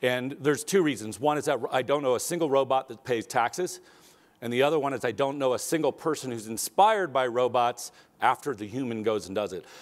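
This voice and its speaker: Speaking at a fairly quick pace, a man lets his pitch move by ordinary amounts. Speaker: keynote speaker. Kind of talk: keynote talk. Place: stage.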